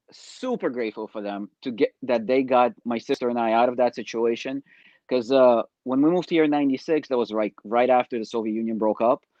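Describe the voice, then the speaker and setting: Here a man speaks at medium pitch. His pace is fairly quick and his intonation fairly even. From Ukraine, raised in New York from age ten. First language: Russian. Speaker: network marketer, reality show contestant. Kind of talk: interview.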